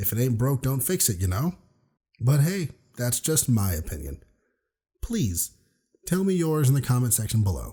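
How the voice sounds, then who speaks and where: A man's dark, mellow voice is somewhat breathy, with very wide pitch swings. He keeps a moderate pace and leaves long, frequent pauses. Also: medium pitch for a man. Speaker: youtuber. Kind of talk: video essay.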